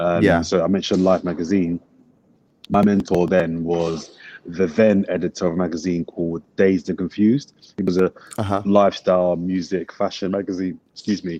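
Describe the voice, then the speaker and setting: In a London accent, a man speaks at a fairly quick pace in a very deep, low voice with a dark, mellow tone and monotone, flat intonation, the sound dry and close with no echo. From south London (Brixton). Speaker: sports broadcaster and journalist. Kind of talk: casual interview.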